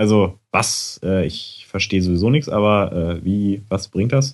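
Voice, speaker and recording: Here is an ordinary speaking voice with ordinary pitch variation. It moves at a moderate pace. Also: man. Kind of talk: casual chat. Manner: relaxed, chatty, self-deprecating.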